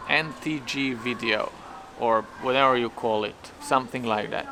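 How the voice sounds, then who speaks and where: The man talks with a Serbian accent at a fairly slow pace. His pitch is medium, and there is noticeable background noise. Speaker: YouTuber. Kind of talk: vlog monologue. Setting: outdoors on a street. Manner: halting.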